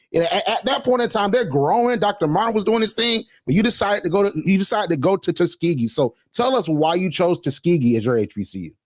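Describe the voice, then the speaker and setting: In an American accent, the speaker rushes along at a very fast pace with hardly any pauses, animated and lively in intonation, on a very clean, dry, close recording with a silent background and no echo. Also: man, high pitch for a man. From Georgia, Macon. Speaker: podcast host. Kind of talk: interview.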